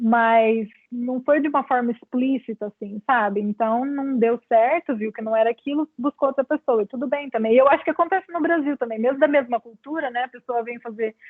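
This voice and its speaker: Pitched high, a woman's voice shows ordinary pitch variation. Her pace is moderate. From Brazil. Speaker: clinical psychologist. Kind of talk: lecture Q&A. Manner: halting.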